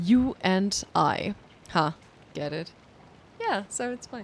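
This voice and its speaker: A woman speaks with a German accent and ordinary pitch variation. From Germany. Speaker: streamer. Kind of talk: casual gaming livestream commentary. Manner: animated.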